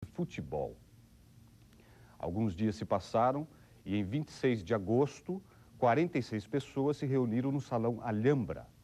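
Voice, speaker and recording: A man with a medium pitch and a dark, mellow tone speaks at a fairly slow pace with lively intonation. He leaves long, frequent pauses. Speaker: TV documentary presenter. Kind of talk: documentary narration.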